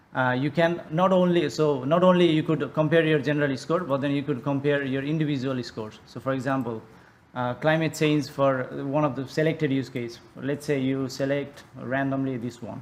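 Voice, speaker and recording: Against audible room echo, a man with a fairly high pitch speaks with fairly even intonation. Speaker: tool developer presenting a demo. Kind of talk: conference software demo. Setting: conference presentation. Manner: fast; halting, many fillers and restarts.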